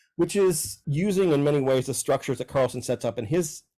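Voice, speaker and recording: A man with a dark, mellow tone, lively intonation and a very fast pace. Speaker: professor. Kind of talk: interview monologue.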